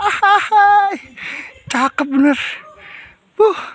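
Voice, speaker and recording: At a very slow pace, a man speaks at an extremely high pitch. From Jakarta outskirts / Tangerang. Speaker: travel vlogger, solo hiker. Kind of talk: casual vlog chat while hiking. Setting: outdoors on mountain trail. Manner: animated.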